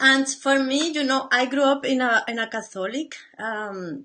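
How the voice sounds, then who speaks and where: A woman with a non-native accent speaks with lively intonation. Her tone is bright and sharp. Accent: noticeable foreign. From Latin America. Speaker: painter. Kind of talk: casual live stream talk. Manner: halting.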